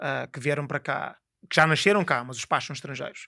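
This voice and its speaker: A man's fairly high voice, bright and sharp in tone, at a fairly quick pace with lively intonation, in a dry, close sound with no echo on a very clean recording with a silent background. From Lisbon, Portugal (born Guinea-Bissau, moved at 11). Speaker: high-performance coach. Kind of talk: podcast interview. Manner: eloquent.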